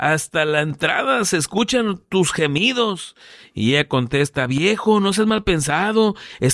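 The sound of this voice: Lively intonation animates an unforced reading voice.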